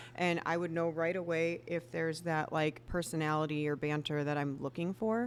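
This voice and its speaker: A woman speaks at a moderate pace with a very deep, low pitch and ordinary pitch variation. Her loudness stays very even, and she hardly pauses. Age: 40s. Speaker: photographer and business owner. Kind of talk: casual chat.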